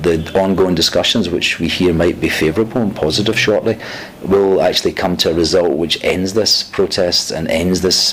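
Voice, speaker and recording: A man with a Scottish accent speaks at a very deep, low pitch with fairly even intonation. There is noticeable background noise. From Scotland. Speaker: UN diplomat. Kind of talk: interview. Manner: halting.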